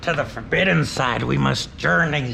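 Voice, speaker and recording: Through clear background noise, a man puts on a character voice at a moderate pace. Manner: menacing, mock-sinister.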